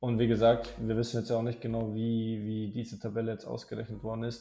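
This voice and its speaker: A man's voice at medium pitch. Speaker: basketball podcast co-host. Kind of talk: casual chat. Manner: halting, frequent fillers.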